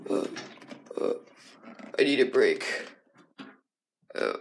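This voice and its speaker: The voice is a cartoonish character act. Its pitch is extremely high. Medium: puppet.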